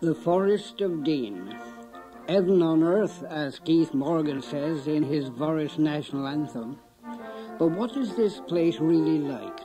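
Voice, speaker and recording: Music plays in the background as a man with a fairly high pitch speaks very slowly with lively intonation. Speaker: documentary presenter. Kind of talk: documentary narration.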